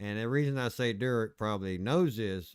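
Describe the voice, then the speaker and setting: Here a man speaks with an Appalachian accent at a fairly low pitch. His pitch varies in an ordinary way, and the recording is very clean with a silent background. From Appalachia, US. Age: 50s. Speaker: video game streamer. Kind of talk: casual chat. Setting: live stream.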